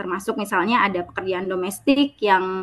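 A woman with a bright, sharp tone talks, her pitch varying in an ordinary way. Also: quiet background. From Bali. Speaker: researcher presenter; presenter. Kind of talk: conference presentation. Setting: video call. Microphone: video call.

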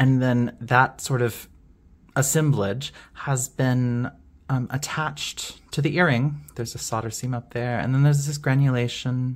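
The voice is shaky and the pace fairly slow. The recording is very clean with a silent background. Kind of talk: show-and-tell video monologue. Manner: hesitant, many fillers; shaky voice from excitement.

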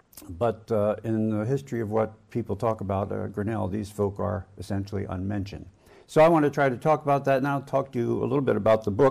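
Against a quiet background, a man talks at a very fast pace with a fairly low pitch and ordinary pitch variation. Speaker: historian. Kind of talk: lecture. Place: hall. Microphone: podium.

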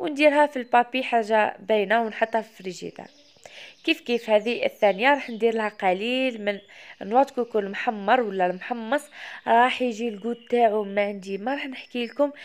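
A woman's fairly high voice with an Algerian accent, at a moderate pace and with ordinary pitch variation. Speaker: cooking video creator. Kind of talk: cooking tutorial.

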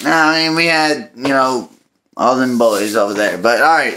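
This man's tone is bright and sharp. His pitch varies in an ordinary way. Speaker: sports fan vlogger. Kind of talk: casual vlog chat. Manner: drunk, slurred rambling talk. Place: kitchen. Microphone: phone near.

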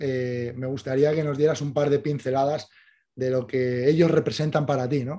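Speaking at a moderate pace, a man has a fairly high pitch and a dark, mellow tone. His intonation is monotone and flat. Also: quiet background. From Spain. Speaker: cycling show host. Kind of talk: casual interview. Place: home room. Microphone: studio mic.

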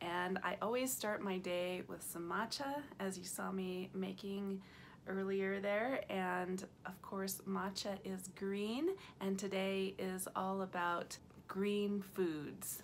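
There is light background noise as a woman talks at a very slow pace. Her intonation stays fairly even. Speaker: vegan food vlogger. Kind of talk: casual vlog chat. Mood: cheerful, smiling, laughing. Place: home room. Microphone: phone near.

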